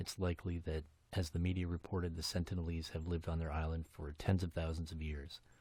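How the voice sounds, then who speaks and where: A soft-spoken, somewhat breathy man with a very deep, low pitch, talking at a very fast pace. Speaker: podcast host. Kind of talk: casual podcast monologue. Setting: home basement. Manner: hesitant, many fillers.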